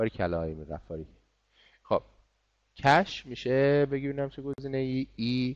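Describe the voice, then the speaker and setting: At a fairly quick pace, a man of medium pitch speaks with lively intonation and long, frequent pauses. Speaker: English teacher. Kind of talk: online class lesson. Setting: online class.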